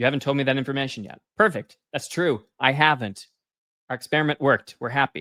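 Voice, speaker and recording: A man at a medium pitch talks very fast, the sound dry and close with no echo. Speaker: workshop presenter on AI engineering. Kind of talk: technical workshop tutorial. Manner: casual with fillers.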